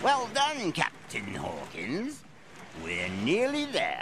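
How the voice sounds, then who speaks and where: A man puts on a character voice and speaks very slowly over clear background noise. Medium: audio drama. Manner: gruff, sly.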